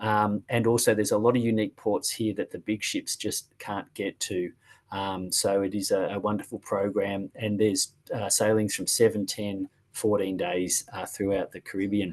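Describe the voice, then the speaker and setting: A man speaks at a fairly low pitch with monotone, flat intonation. The sound is dry and close, with no echo. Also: moderate pace. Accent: Australian. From Australia. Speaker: cruise line sales representative. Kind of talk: sales presentation.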